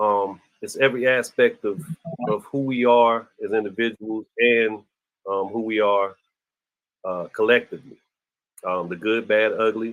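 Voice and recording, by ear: Speaking at a fairly slow pace, a man has fairly low pitch, fairly even intonation and a fairly bright tone.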